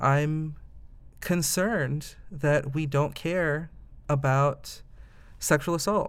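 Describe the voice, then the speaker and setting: Very slow and full of long, frequent pauses, a man speaks at a fairly high pitch in a Midwestern American accent with fairly even intonation, recorded very cleanly with a silent background. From US Midwest, Indiana (Fort Wayne). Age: 20s. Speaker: voter interviewed on podcast. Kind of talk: interview. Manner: hesitant, many fillers.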